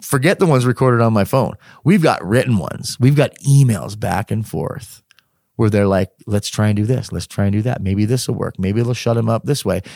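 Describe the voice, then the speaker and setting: In an ordinary speaking voice, a man talks at a fairly quick pace with medium pitch and ordinary pitch variation. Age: 40s. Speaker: humanitarian and author. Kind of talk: interview, personal story.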